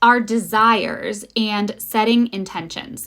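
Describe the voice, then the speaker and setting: The speech moves at a very slow pace over music in the background. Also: woman. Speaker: spiritual guide and podcast host. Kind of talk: channeled spiritual monologue. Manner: unscripted, sometimes fumbling.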